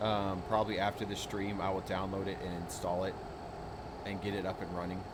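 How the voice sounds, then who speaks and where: An American-accented man amid noticeable background noise and audible room echo. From United States. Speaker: gaming streamer. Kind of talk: casual chat. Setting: live stream.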